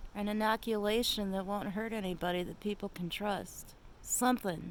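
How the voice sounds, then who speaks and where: A woman at medium pitch and a moderate pace. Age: 60s. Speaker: vlogger. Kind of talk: casual monologue. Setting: outdoors on her deck at night. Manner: animated.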